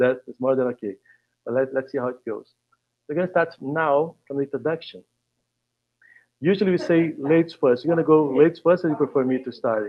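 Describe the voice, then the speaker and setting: A man's fairly high-pitched voice with a Brazilian Portuguese accent, at a fairly quick pace broken by long, frequent pauses. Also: ordinary pitch variation. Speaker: facilitator. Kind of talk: panel discussion. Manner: halting.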